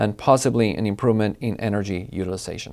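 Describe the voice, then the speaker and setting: The speech runs at a fairly quick pace against a quiet background. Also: man. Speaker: presenter. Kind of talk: lecture. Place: studio. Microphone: lapel.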